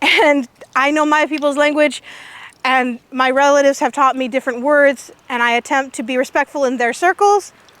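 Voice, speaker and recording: Loud and animated, a woman speaks in an American accent at a high pitch with ordinary pitch variation. The recording is dry and close, with no echo. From California, near Hollister. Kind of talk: public talk to outdoor audience.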